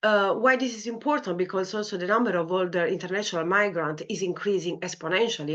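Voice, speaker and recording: A woman with an Italian accent, medium-pitched and fairly quick. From Italy. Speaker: clinical psychology lecturer. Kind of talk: academic talk. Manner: hesitant, many fillers.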